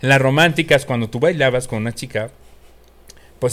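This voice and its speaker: A man speaks with a Mexican accent at a fairly quick pace. His pitch is medium, with ordinary variation. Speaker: podcast co-host. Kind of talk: casual chat.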